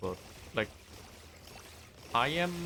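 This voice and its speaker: Noticeable background noise runs under this recording. A man speaks with lively intonation. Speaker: game streamer. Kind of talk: casual live-stream chat.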